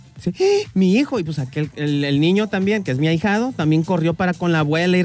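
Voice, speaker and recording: A man talks at a very fast pace with a high pitch and ordinary pitch variation. Noticeable background noise sits behind him. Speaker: radio show co-host. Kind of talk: casual chat. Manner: subdued.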